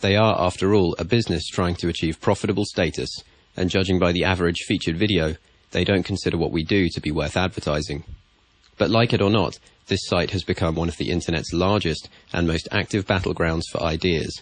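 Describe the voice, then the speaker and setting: A very deep, low male voice at a fairly quick pace, with fairly even intonation. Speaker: science YouTuber. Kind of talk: spoken commentary voice-over. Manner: monotone.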